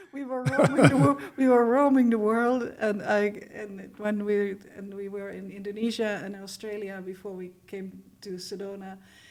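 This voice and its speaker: A woman talks at a moderate pace in a medium pitch, with big swings in loudness. Noticeable background noise runs underneath. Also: ordinary pitch variation. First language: not English. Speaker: composer, author and filmmaker. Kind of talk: interview. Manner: halting.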